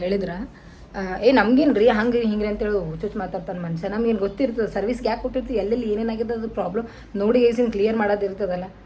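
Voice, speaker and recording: Fairly even intonation amid audible room echo and noticeable background noise. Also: woman. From North Karnataka, Kalaburagi. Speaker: vlogger. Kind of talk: casual vlog talk to camera.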